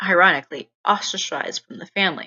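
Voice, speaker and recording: This woman has a Texan accent. Her pace is moderate. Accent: Texas accent, becoming more pronounced. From East Texas. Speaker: student. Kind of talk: scripted narration.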